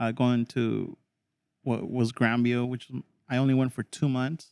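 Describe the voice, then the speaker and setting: A man with a Spanish accent, flat and monotone, at a fairly slow pace, with a dry, close sound and no echo. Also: medium pitch for a man. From Mexico. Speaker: podcast host. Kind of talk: casual chat.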